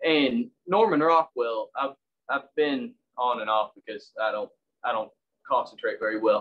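Here a man talks with a Southern US accent. His pace is fairly slow. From US South, Tennessee. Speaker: woodcarver and public school English teacher. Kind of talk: online demonstration talk. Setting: video call. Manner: casual, self-deprecating.

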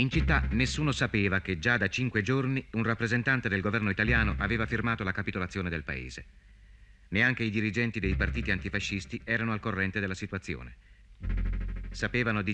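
Very fast and with vocal fry, a man speaks at a fairly low pitch in a bright, sharp tone. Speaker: documentary narrator. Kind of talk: scripted documentary narration.

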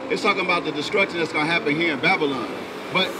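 A man speaks in a raised, projected voice. Background noise is noticeable. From Memphis, Tennessee; Tennessee. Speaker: street preacher. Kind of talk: street preaching with scripture reading. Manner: animated. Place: street. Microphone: handheld.

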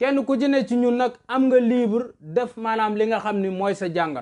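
Speech moves at a fairly slow pace over a quiet background. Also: man. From Senegal. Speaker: historian and commentator. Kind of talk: political commentary monologue. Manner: loud.

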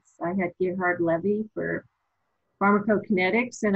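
The background stays quiet. The speaker is a woman. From eastern Canada, Nova Scotia. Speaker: pharmacy professor. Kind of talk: interview. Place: home room. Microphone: webcam.

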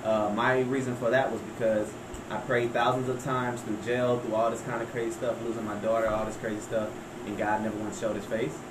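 A man at a medium pitch with a Southern US accent, a fairly quick pace and monotone, flat intonation, over noticeable background noise. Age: 30s. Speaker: rapper. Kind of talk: casual chat.

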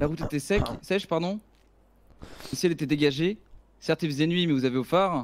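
Talking at a very fast pace yet with long, frequent pauses, a man uses a fairly high voice with ordinary pitch variation. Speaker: gamer in roleplay. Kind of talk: roleplay gaming stream.

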